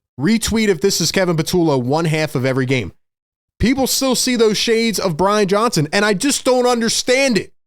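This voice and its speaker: On a very clean recording with a silent background, a man talks fairly quickly in a high voice with very wide pitch swings and very even loudness. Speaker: sports show host. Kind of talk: sports reaction commentary. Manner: animated.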